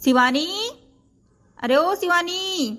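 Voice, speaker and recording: In a put-on character voice, a woman speaks with lively intonation and an extremely high pitch. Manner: shouting, calling out loudly.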